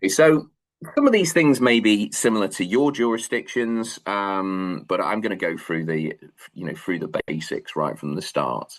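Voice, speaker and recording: A man with a Manchester accent, fairly low in pitch, at a moderate pace with very wide pitch swings. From northern England, Manchester. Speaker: law lecturer. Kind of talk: lecture. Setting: video call webinar. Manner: hesitant, many fillers.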